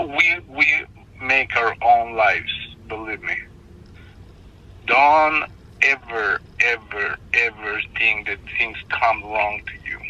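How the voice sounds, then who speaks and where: With a non-native accent, a man speaks very slowly, leaving long, frequent pauses. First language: not English. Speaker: stranger who helped. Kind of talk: phone call. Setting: phone call. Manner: halting. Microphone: phone line, hard to hear.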